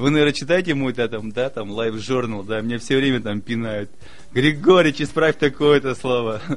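Medium pitch and a moderate pace in a man's a normal speaking voice, with ordinary pitch variation. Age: 40s. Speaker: regional politician. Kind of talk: casual chat.

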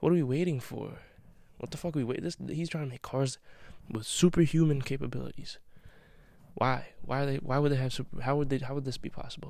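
Here a man talks at a very fast pace. His pitch is fairly high and his intonation fairly even. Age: 20s. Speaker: college student podcaster. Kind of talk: late-night solo monologue. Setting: home basement. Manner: rambling, repetitive.

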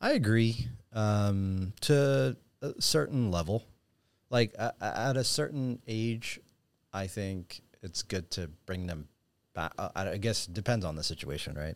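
An ordinary speaking voice: a man with a fairly low pitch, lively intonation and a fairly slow pace, on a very clean recording with a silent background. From US, raised in Ethiopia. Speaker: finance professional. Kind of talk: casual interview chat. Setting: studio.

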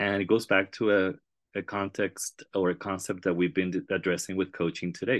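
The speaker has a Spanish accent and keeps a moderate pace. The background is quiet. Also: man. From Puerto Rico. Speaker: school district research director, educator. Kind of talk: interview.

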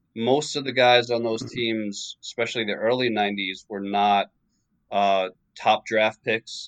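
A man with a New York accent, fairly low in pitch, monotone and flat, at a fairly slow pace, with a dry, close sound and no echo. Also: quiet background. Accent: New York American. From New York suburbs, US. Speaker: author of a basketball book. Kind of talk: interview.

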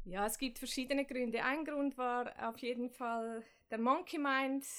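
In a very clean recording with a silent background, a woman speaks with a high pitch. She keeps a moderate pace and fairly even intonation. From Switzerland, Zurich. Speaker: meditation instructor. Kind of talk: interview.

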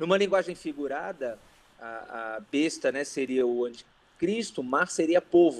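At a fairly slow pace, a man talks with a fairly high pitch in a normal speaking voice. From Rio de Janeiro city, Brazil. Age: 40s. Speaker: pastor. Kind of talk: casual chat.

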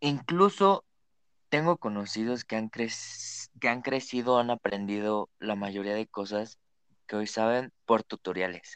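With an unremarkable speaking voice, this speaker talks at a fairly slow pace with ordinary pitch variation, recorded dry and close with no echo against a quiet background. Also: man, medium pitch for a man. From Mexico, Naucalpan. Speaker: podcast co-host. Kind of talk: casual chat.

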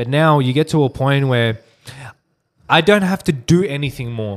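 A man's fairly high-pitched voice with an Australian accent. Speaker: digital marketing agency owner. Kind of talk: casual interview.

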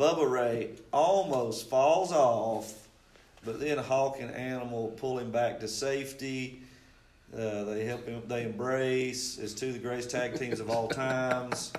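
A man speaks in an unremarkable speaking voice at a medium pitch. His intonation stays fairly even. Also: fairly slow pace. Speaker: guest wrestling fan. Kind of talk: casual banter.

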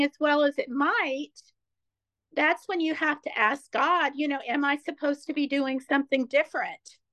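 In an American accent, a woman speaks with a bright, sharp tone. The sound is dry and close, with no echo. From Ohio, US Midwest. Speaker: author and speaker, former therapist. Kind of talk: casual interview.

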